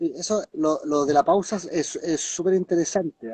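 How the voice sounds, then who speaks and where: A man speaks with a high voice. His intonation stays fairly even. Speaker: therapist and hypnotist. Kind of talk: live-stream interview chat. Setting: online live stream. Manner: fast.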